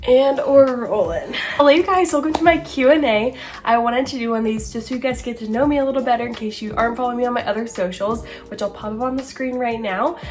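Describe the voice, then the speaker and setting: A woman talks in a high pitch with an American accent. Audible room echo and noticeable background noise surround her. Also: ordinary pitch variation. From Southern Indiana. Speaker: lifestyle and beauty creator. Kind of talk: casual chat. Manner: animated.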